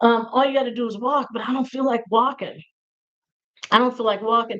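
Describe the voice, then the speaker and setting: This woman talks at a fairly quick pace in a fairly high pitch. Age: 60s. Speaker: video creator with fibromyalgia. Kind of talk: casual livestream chat. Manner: animated, playful; filler-heavy, with repetitions.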